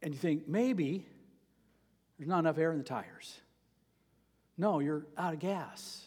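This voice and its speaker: At a moderate pace, a man speaks in a fairly high pitch with ordinary variation, leaving long, frequent pauses. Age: 60s. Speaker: pastor. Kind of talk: sermon. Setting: church.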